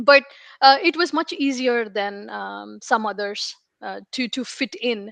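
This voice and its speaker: A woman talks with an Indian accent at a fairly slow pace, her fairly high pitch carrying lively intonation. The sound is dry and close, with no echo. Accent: Indian, non-American. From India (Hyderabad). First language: Telugu. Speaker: information security leader. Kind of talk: interview.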